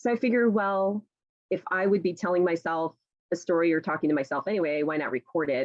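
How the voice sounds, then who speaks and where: A woman with a fairly low voice speaks very fast at a very even loudness. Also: ordinary pitch variation. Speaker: novelist and teacher. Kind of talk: talk to a writers' group. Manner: chatty, many fillers.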